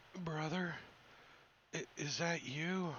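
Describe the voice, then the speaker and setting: A man uses a put-on character voice. His pitch sits high. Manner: faltering, confused.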